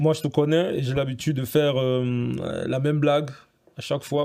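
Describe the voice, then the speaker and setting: A man speaks at a moderate pace with an unremarkable speaking voice. His pitch sits fairly high, and his intonation stays fairly even. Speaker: podcast host. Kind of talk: podcast interview questions.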